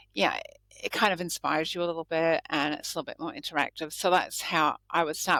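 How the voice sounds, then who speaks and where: A woman with an Australian accent speaks fairly quickly at a fairly low pitch, in a bright, sharp tone with fairly even intonation. The sound is dry and close with no echo, in a very clean recording with a silent background. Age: 60s. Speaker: lawyer. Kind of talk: podcast interview answer.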